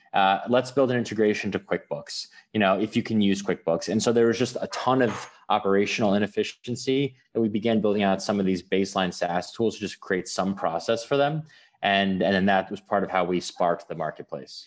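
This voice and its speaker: An ordinary speaking voice with an American accent, ordinary pitch variation and a fairly quick pace, over a quiet background. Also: man, fairly low pitch for a man. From US, New York City. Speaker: startup founder. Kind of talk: interview.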